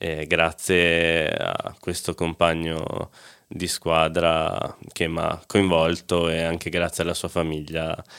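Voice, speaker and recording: The speech comes in a flat monotone at a very slow pace. The recording is very clean, with a silent background. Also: man. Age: 20s. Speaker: para ice hockey player. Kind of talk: interview.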